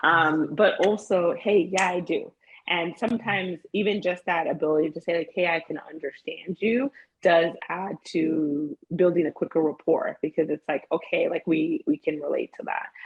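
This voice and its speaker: A woman with a Spanish accent speaks at a moderate pace and a fairly low pitch. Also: ordinary pitch variation. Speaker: therapist. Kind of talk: interview. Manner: animated.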